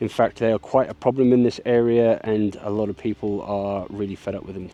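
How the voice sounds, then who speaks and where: Noticeable noise fills the background. The speech moves along fairly quickly. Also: man. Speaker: homesteader vlogger. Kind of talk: casual vlog narration. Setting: outdoors. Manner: quiet, hushed.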